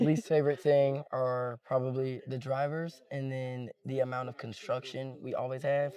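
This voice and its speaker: A man with an American accent talks at a moderate pace and medium pitch, his intonation fairly even. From Cincinnati, Ohio (US Midwest). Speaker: interviewee. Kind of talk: casual chat.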